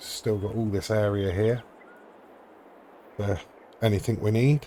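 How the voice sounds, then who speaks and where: A man with a dark, mellow tone, fairly low pitch, fairly even intonation and a fairly slow pace. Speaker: gaming YouTuber. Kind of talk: gameplay commentary. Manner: monotone; hesitant, many fillers.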